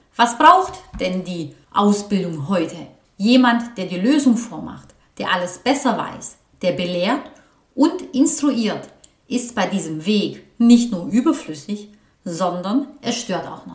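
A woman speaks very slowly in a fairly high voice with very wide pitch swings. Room echo is audible. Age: 40s. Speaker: vocational training coach. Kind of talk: solo podcast monologue.

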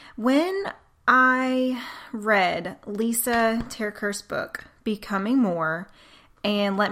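The speaker has a Southern US accent. The tone is bright and sharp. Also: woman, very clean recording, silent background. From US South. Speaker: podcast host. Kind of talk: casual faith talk monologue. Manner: animated.

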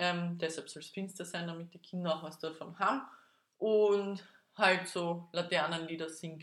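This woman has a normal speaking voice, fairly low in pitch, with fairly even intonation at a moderate pace. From Austria, Vienna. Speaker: podcast co-host. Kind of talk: casual chat.

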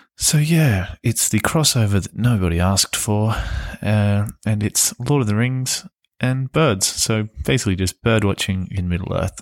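A man with an Australian accent, fairly low-pitched with ordinary pitch variation, at a moderate pace, dry and close with no echo in a very clean recording with a silent background. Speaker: podcast host. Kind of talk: casual podcast intro.

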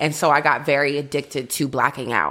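A woman's very deep, low voice in an American accent at a fairly quick pace, in a very clean recording with a silent background. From Boston, Massachusetts. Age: 20s. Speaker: recovering alcoholic sharing her story. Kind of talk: testimony.

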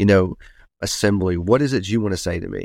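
In a very clean recording with a silent background, a man talks at a fairly low pitch with ordinary pitch variation. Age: 40s. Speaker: pastor. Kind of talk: interview testimony.

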